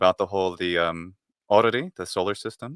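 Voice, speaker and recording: In a very clean recording with a silent background, a man with an ordinary speaking voice talks at a fairly quick pace and a fairly low pitch. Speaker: podcast host. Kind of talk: livestream conversation.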